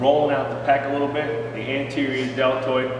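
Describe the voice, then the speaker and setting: A man speaks over noticeable background noise, with audible echo in the room. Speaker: strength coach. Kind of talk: tutorial. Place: gym. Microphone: camera far.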